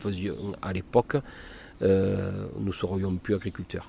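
Slow-ish and monotone, a man's fairly low voice carries a dark, mellow tone with flat intonation at a fairly slow pace. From Provence, Cavaillon (Vaucluse). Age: 50s. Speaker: melon farmer. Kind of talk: interview. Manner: halting.

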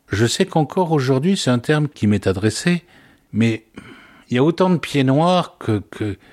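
A man's pitch jumps very widely on a very cleanly made recording with complete background silence. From Algeria (Oran), pied-noir. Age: 60s. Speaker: father recounting childhood memories. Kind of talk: personal testimony interview.

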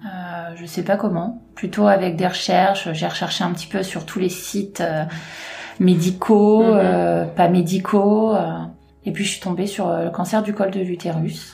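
Audible room echo surrounds a woman speaking at a medium pitch with vocal fry. Her pace is fairly slow and her intonation monotone and flat. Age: 30s. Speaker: cancer survivor, retail worker. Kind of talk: testimony.

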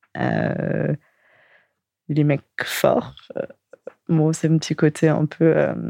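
Very slowly and with long, frequent pauses, a woman speaks in a dry, close sound with no echo. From Paris suburbs, Val-de-Marne. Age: 20s. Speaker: dating profile guest. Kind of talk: casual interview.

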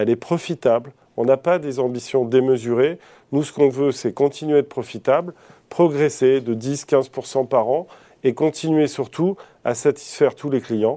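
The tone is dark and mellow, with ordinary pitch variation and a moderate pace. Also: man. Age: 50s. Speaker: company CEO. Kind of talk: TV business interview. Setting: TV studio.

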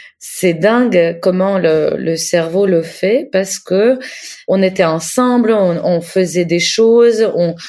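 A woman speaks with a Russian accent at a very slow pace. Her tone is dark and mellow, with ordinary pitch variation. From Ukraine. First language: Russian (speaking French). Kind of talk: interview; diary reading. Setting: video call.

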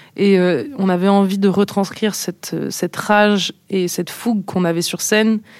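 The speech moves at a moderate pace with hardly any pauses. Its intonation stays fairly even. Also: woman, medium pitch for a woman. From France, Nice. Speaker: pop band singer. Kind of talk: interview. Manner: halting, many fillers.

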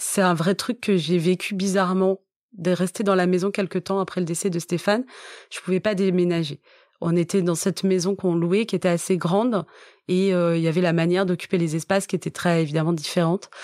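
A woman's fairly low, monotone voice at a fairly quick pace, flat in intonation, dry and close with no echo, on a very clean recording with a silent background. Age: 40s. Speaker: author. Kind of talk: testimony. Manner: halting.

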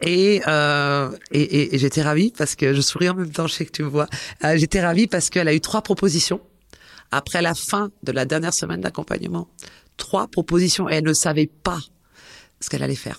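A woman with a very deep, low pitch and vocal fry speaks at a fairly quick pace with ordinary pitch variation, broken by long, frequent pauses. The recording is very clean and dry, close with no echo, over a silent background. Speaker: SEO expert and digital marketing teacher. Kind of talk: interview. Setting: studio. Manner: hesitant.

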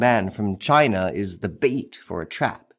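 Over music in the background, a man's voice swings very widely in pitch. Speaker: narrator. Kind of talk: history documentary narration, scripted and read aloud. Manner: measured, steady and dramatic, with a serious storytelling tone; clear, even pacing, formal.

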